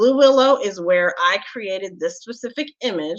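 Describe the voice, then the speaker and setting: A woman in an ordinary speaking voice, with lively intonation. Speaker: tech show host. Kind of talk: live tutorial.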